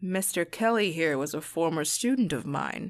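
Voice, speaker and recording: Over a quiet background, a put-on character voice at middle pitch moves at a moderate pace. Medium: read story. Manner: cool, controlled, casual.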